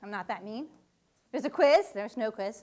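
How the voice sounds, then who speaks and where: A woman speaks loudly and very fast in an animated tone with ordinary pitch variation. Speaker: physics professor. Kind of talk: public lecture. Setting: lecture hall with audience.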